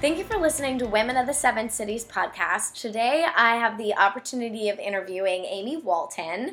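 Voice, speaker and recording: Music plays in the background as a woman talks at a fairly quick pace. Her pitch is fairly high and her intonation lively. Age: 20s. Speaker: podcast host. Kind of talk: interview conversation; scripted intro.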